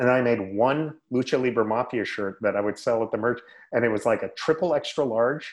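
A man talks in a normal speaking voice at medium pitch and moderate pace, with ordinary pitch variation. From Northern California, Sacramento area. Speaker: retired wrestler and podcast host. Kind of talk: casual interview.

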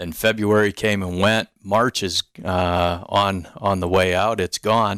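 A man with an American accent speaks fairly slowly in a monotone, flat voice. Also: fairly low pitch for a man. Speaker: radio host and gym owner. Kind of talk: casual radio interview. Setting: radio studio.

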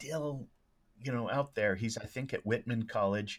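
In a very clean recording with a silent background, a man with an American accent speaks in a plain, everyday voice at a medium pitch and moderate pace. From Oregon, US. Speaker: speech and debate coach. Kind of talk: casual interview.

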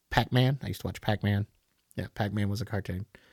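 Dry and close with no echo, this very clean recording has a silent background. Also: man. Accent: Southern US. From US South, Tennessee. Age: 50s. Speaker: podcast host. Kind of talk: casual solo monologue.

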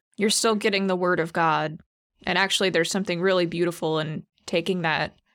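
A woman speaks in a fairly low pitch with monotone, flat intonation, in a very clean recording with a silent background. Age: 30s. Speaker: church staff. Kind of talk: casual chat.

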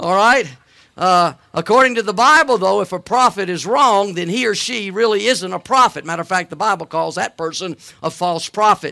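In a raised, projected voice with a Southern US accent, a man speaks at a moderate pace and high pitch, bright and sharp in tone with lively intonation, in a dry, close sound with no echo on a very clean recording with a silent background. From US South, Alabama. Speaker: guest preacher. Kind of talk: sermon. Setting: church. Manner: halting, with frequent fillers.

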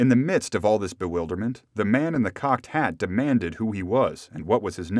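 A natural reading voice carries lively intonation.

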